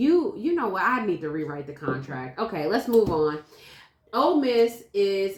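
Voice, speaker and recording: A woman speaks loudly in an animated tone. Her medium pitch moves in very wide swings. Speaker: sports podcast host. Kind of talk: casual debate.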